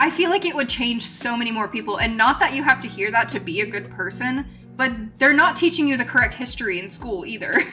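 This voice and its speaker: A high-pitched woman's voice at a very fast pace with very wide pitch swings, music in the background. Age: 20s. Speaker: live streamer, crochet and chat. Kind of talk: casual live-stream chat. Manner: casual, many fillers (like, um).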